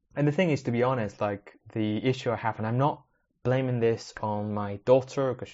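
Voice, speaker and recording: With a Spanish accent, a man speaks at a fairly quick pace and fairly even intonation. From Spanish-speaking country, moved to UK at ten. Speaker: podcast host, maker/tech hobbyist. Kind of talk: casual solo podcast monologue.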